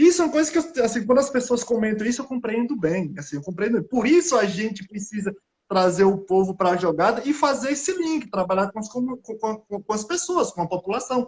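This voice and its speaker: A man with a northeastern Brazilian accent speaks in a high pitch, with very wide pitch swings. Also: fairly quick pace, hardly any pauses. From Brazilian Northeast. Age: 30s. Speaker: scientist. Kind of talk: casual chat. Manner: halting.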